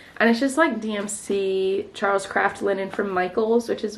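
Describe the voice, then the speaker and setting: Noticeable background noise sits behind a woman with an American accent who speaks at a medium pitch with fairly even intonation. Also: hardly any pauses. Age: 20s. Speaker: cross-stitch vlogger. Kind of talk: casual craft vlog update. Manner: casual, filler-heavy.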